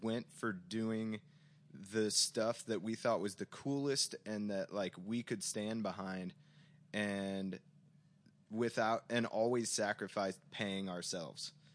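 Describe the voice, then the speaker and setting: An unremarkable speaking voice from a man with an American accent, at a fairly slow pace against a quiet background. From US Midwest, St. Louis suburbs, Missouri. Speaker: record store owner. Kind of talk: casual chat.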